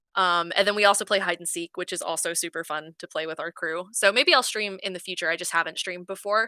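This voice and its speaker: A woman's medium-pitched voice at a very fast pace, with fairly even intonation and a bright, sharp tone, in a very clean recording with a silent background and a dry, close sound with no echo. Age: 20s. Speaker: streamer. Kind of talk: casual chat. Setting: live stream.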